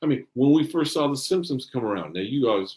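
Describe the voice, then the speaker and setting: A man's animated, fairly high-pitched voice with vocal fry at a very fast pace. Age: 50s. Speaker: animator and filmmaker. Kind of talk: casual chat.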